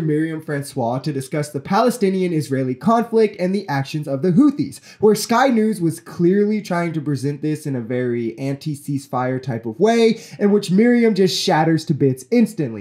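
A dark, mellow voice with an American accent and very wide pitch swings against a quiet background. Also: man, moderate pace, hardly any pauses. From United States. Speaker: political commentary youtuber. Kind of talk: commentary on news clips. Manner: indignant, profane outburst against rich Americans. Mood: critical, earnest. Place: home room. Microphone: studio mic.

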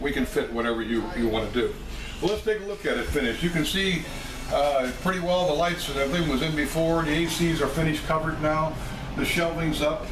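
A man's fairly quick speech, varying in pitch in an ordinary way, comes through noticeable background noise. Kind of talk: tutorial. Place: kitchen.

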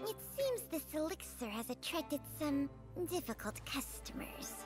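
A hissing, female-sounding put-on character voice at a moderate pace, with clear music in the background.

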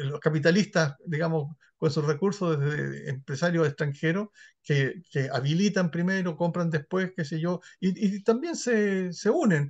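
Against a quiet background, a man with a high voice speaks fairly slowly with lively intonation. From northern Chile, Iquique; Chile. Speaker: historian and sociologist; interviewee. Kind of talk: interview. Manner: halting, many repeated words. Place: home room. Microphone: video call.

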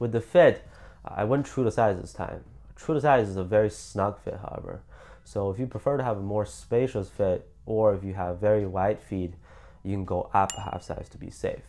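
A man with fairly low pitch and a dark, mellow tone talks at a moderate pace, with ordinary pitch variation and big swings in loudness. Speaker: sneaker reviewer. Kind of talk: product review talk to camera.

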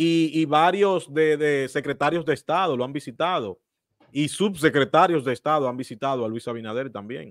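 This man has a plain, everyday voice with a fairly high pitch, ordinary pitch variation and a moderate pace. The sound is dry with no echo, over a quiet background. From Dominican Republic. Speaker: political commentary host. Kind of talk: interview. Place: home room. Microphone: studio mic.

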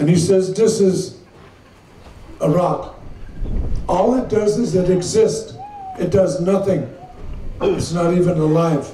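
Audible room echo surrounds a man with a high pitch who speaks at a fairly slow pace with ordinary pitch variation, very even loudness and long, frequent pauses, over light background noise. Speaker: speaker. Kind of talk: formal public address. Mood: slow, solemn, measured. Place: tent. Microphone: podium.

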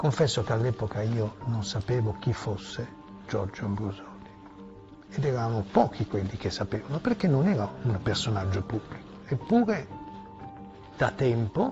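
Clear music plays in the background while the speaker keeps a moderate pace. The delivery has ordinary pitch variation and long, frequent pauses. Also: man, fairly low pitch for a man. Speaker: journalist recalling events. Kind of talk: interview answer. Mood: serious, reflective. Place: home room. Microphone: lapel.

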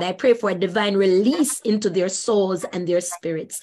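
The speaker is a woman with a plain, everyday voice. She keeps a moderate pace at medium pitch with ordinary pitch variation. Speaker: evangelist moderating a Bible study. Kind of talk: scripture reading and moderating. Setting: video call.

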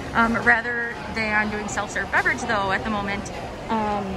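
Over music in the background, a woman talks at a moderate pace. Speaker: travel planner vlogger. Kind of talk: tour commentary. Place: hall. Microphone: phone near.

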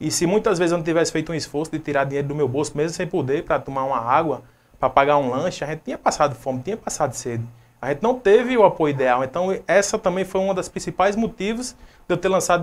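Using lively intonation, a man with a fairly high pitch talks at a very fast pace. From Brazil, Rio Grande do Norte interior. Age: 20s. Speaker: city council candidate; council candidate. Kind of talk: interview. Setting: live web TV studio. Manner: hesitant, with many fillers. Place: home room. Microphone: lapel.

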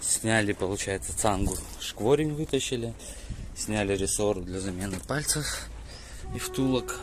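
Over noticeable background noise, a man talks at a fairly slow pace, the sound dry with no echo. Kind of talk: work commentary. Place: open country. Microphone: phone near.

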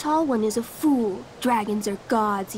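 In a put-on, growling character voice, a woman speaks at a fairly slow pace and a fairly high pitch over clear background noise. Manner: growling, snarling.

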